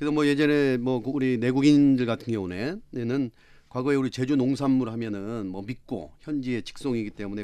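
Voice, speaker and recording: A man's dark, mellow voice at a medium pitch, with hardly any pauses. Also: quiet background. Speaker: travel agency executive. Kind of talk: panel debate.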